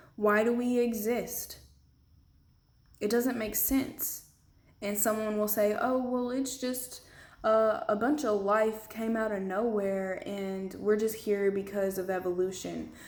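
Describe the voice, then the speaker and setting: The speech moves at a fairly slow pace with ordinary pitch variation. Room echo is audible around it. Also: woman. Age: 20s. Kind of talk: testimony.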